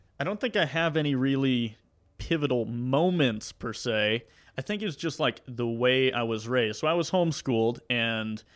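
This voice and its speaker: A man with a Southern US accent talks at a fairly slow pace, his medium pitch showing ordinary variation. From US South, Mississippi. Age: 20s. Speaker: YouTube maker. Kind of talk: casual chat. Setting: studio.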